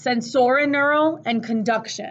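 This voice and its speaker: Loud and fairly slow, a woman speaks with an American accent and lively intonation. Audible room echo surrounds her voice. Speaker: teacher. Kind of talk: lecture. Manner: casual.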